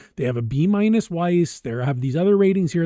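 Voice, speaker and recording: A man talks with lively intonation. The sound is dry with no echo, over a quiet background. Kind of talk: screen-share product commentary. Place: home room. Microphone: webcam.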